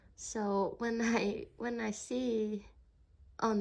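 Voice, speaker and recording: A woman with a Hong Kong accent speaks in a somewhat breathy voice. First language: Cantonese. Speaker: spiritual card reader vlogger. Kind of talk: casual vlog monologue. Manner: halting, searching for words.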